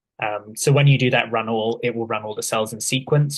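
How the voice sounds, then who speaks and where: At a fairly quick pace, a man speaks with a medium pitch and monotone, flat intonation. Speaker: workshop instructor. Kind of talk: tutorial. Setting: video call.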